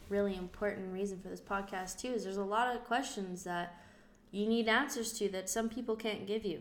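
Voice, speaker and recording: With audible room echo, a woman talks at a moderate pace with fairly even intonation. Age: 20s. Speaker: electrical apprentice, daughter of transplant patient. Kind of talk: casual chat.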